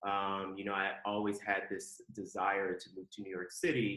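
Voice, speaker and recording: Here a man talks in an American accent. His pitch is fairly low and his pace moderate. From Ohio, US Midwest, Southern family. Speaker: fashion executive. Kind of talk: podcast interview. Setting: remote call.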